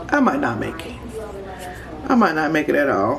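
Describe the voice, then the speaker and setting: Moderate-paced speech in an American accent, with noticeable background noise. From Chicago, US. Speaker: vlogger. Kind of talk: casual chat. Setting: home kitchen.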